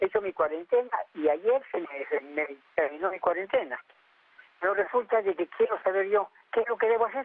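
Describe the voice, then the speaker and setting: A man with a high voice and lively intonation talks at a fairly quick pace, broken by long, frequent pauses. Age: 70s. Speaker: caller. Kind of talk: phone-in question. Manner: halting.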